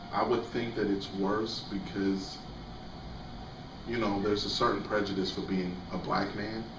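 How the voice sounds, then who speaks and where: Over noticeable background noise and audible room echo, a man with a fairly low pitch speaks at a moderate pace in a flat monotone, taking long, frequent pauses. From Jamaica. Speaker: interviewee. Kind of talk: interview. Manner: halting.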